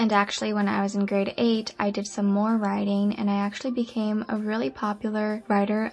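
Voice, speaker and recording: There is noticeable background noise behind a woman's voice. She speaks at a fairly quick pace with monotone, flat intonation. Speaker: aspiring actor. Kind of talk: personal life story told to camera.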